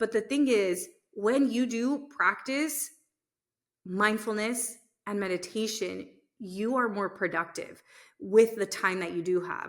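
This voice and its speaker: With long, frequent pauses, a woman speaks at a fairly high pitch with ordinary pitch variation in a very clean recording with a silent background. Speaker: podcast host and business owner. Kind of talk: unscripted solo podcast monologue. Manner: fast.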